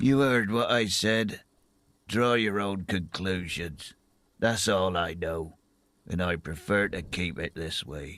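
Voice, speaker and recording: A man puts on a character voice, very deep and low in pitch. It is raspy and comes at a fairly slow pace. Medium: video game. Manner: blunt, gruff.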